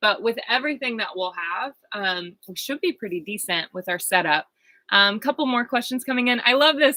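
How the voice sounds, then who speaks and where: Loud and lively in intonation, a woman's bright, sharp tone comes through in a dry, close sound with no echo. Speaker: vlogger living in a bus. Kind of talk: live stream Q&A. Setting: inside a bus.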